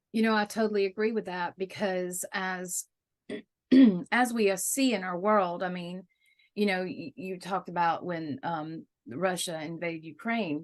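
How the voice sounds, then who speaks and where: A woman with a Southern US accent speaks at medium pitch. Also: ordinary pitch variation, moderate pace. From US South. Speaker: interviewer. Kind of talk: interview. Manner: halting, many fillers.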